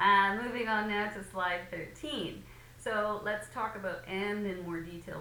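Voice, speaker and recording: Over noticeable background noise and with audible room echo, a woman speaks at a medium pitch and a fairly slow pace. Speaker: English teacher. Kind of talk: lecture. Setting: recorded lesson video with slides.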